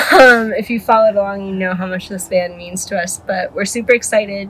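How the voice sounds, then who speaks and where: At a moderate pace, a woman speaks against loud background noise. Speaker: van owner vlogger. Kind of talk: casual vlog chat and van tour. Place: car. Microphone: phone near.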